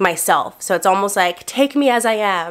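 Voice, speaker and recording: This is a woman's voice. She talks at a moderate pace. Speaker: lifestyle youtuber. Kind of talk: casual vlog chat. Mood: candid, confessional. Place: home room.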